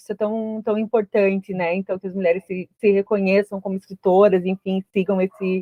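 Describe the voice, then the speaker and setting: A woman speaks at a fairly quick pace. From interior of Santa Catarina, Brazil. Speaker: podcast host. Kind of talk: interview.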